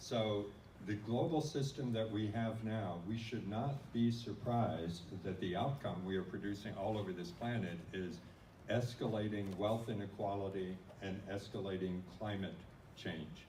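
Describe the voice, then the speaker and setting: Audible room echo and noticeable background noise surround a man with a fairly low pitch. He speaks at a moderate pace with ordinary pitch variation. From US Midwest. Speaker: non-profit organization leader. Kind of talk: conference talk.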